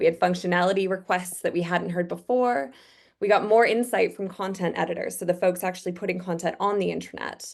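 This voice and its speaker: A woman with a Canadian accent talks at a fairly quick pace in a normal speaking voice, her medium pitch held to fairly even intonation. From Canada. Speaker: user researcher. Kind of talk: webinar presentation. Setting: online webinar.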